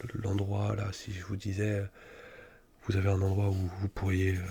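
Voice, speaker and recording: A man whispers in a soft-spoken, calm tone. His voice is somewhat breathy. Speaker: ASMR creator. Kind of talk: ASMR psychologist roleplay, soft spoken whispered. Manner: soft-spoken, whispered, calm, reassuring.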